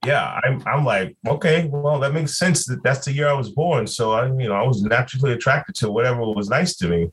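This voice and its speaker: With an American accent, a man talks at a fairly quick pace and medium pitch, somewhat breathy, with lively intonation and very even loudness. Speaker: podcast co-host. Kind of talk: casual chat.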